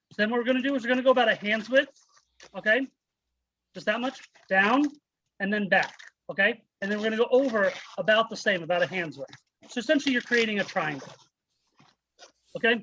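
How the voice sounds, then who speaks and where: A man with an American accent and high pitch, a raised, projected voice with a bright, sharp tone, very fast speech broken by long, frequent pauses. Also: ordinary pitch variation. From United States. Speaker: balloon artist. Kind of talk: tutorial. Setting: video call.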